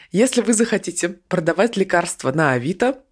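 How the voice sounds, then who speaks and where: A woman with a fairly low pitch speaks at a moderate pace with lively intonation. It is a normal speaking voice in a very clean recording with a silent background. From Krasnoyarsk, Siberia. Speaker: podcast news co-host. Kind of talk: casual news discussion.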